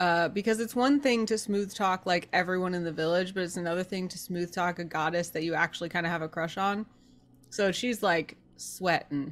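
A woman talks in a plain, everyday voice at medium pitch. Her pace is fairly quick, with ordinary pitch variation. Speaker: tabletop roleplaying player. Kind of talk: casual banter and roleplay.

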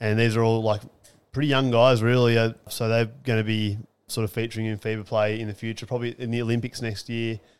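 A man with an Australian accent at medium pitch and a fairly quick pace, in a very clean recording with a silent background. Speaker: podcast co-host. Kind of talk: casual sports chat podcast.

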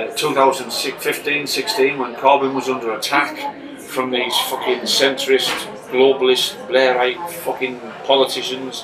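Music plays behind a man with a northern English accent. His intonation stays fairly even. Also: medium pitch for a man, fairly slow pace. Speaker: comedian. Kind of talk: casual chat.

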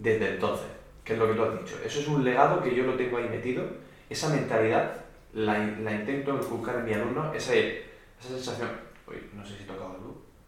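Over noticeable background noise and audible room echo, a man talks at a very fast pace and medium pitch, with ordinary pitch variation and big swings in loudness. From Murcia, Spain. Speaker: orchestral percussionist. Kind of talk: casual chat.

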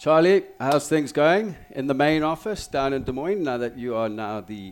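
Speaking fairly slowly in a South African accent, a man with a fairly high pitch lets his voice swing very widely up and down. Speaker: sports radio host. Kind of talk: casual chat.

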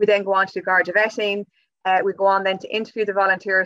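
A woman with an Irish accent, medium pitch, a bright, sharp tone, and monotone, flat intonation, very fast, in a dry, close sound with no echo. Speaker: youth work officer. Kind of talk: interview.

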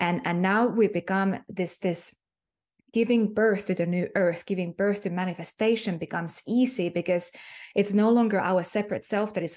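Speaking with a Finnish accent, a woman uses a medium pitch and a warm tone. She keeps a moderate pace and fairly even intonation. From Finland. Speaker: spiritual healer and mentor. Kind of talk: interview conversation about spirituality. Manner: warm, reflective, hesitant with fillers.

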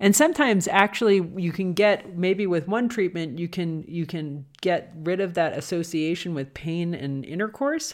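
In a very clean recording with a silent background, a woman with a normal speaking voice and fairly low pitch talks at a moderate pace with hardly any pauses and ordinary pitch variation. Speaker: doctor and podcast host. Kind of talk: educational podcast discussion, casual.

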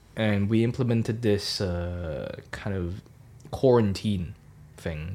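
Speaking with a Cantonese accent, a man uses a fairly low pitch and ordinary pitch variation. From Hong Kong. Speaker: student podcast co-host. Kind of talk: casual chat.

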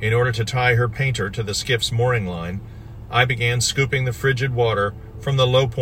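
The reading voice is unforced. That covers it.

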